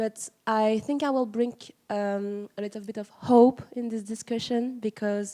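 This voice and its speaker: A woman with a French accent speaks at a fairly slow pace in a dark, mellow tone, her intonation monotone and flat. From France. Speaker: museum educator. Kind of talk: audience question at conference panel.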